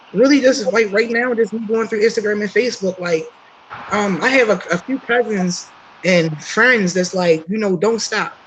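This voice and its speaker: Against noticeable background noise, a woman with a fairly high voice speaks at a moderate pace with ordinary pitch variation. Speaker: aspiring motivational speaker. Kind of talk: casual group chat on a livestream. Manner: halting, many fillers.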